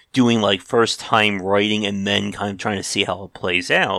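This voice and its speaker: An unremarkable speaking voice from a man, fairly low in pitch and fairly quick in pace, on a very clean recording with a silent background. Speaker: podcast host. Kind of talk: casual interview chat.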